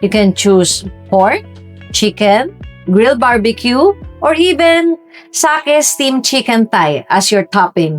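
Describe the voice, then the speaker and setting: With music in the background, a woman speaks at a very slow pace and fairly high pitch, her pitch swinging very widely while her loudness stays very even. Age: 50s. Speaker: food and lifestyle vlogger living in the Philippines. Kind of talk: casual talk to camera, restaurant review. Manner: conversational, friendly, lightly humorous.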